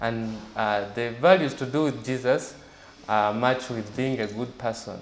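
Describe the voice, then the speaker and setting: A man speaks at a medium pitch and a fairly slow pace. There is noticeable background noise and audible room echo. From Uganda (Jinja, eastern Uganda). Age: 20s. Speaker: journalist and blogger. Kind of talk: interview.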